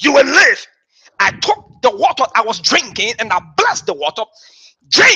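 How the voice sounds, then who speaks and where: A man speaks at a moderate pace with an extremely high pitch and very wide pitch swings. Long, frequent pauses break up his speech over a quiet background. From Liberia. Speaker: bishop. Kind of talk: sermon. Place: church.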